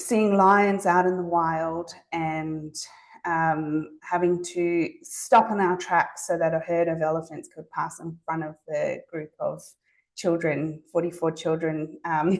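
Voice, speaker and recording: A very slow, monotone delivery with flat intonation and a slight Zimbabwean accent. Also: woman, fairly low pitch for a woman. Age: 40s. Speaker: speech pathologist. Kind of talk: presentation to an audience. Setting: talk with live audience. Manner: hesitant, many fillers.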